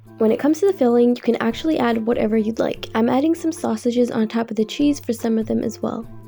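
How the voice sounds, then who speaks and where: Music can be heard behind the voice. A woman speaks fairly quickly over it. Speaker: cooking channel host. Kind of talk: recipe tutorial voiceover.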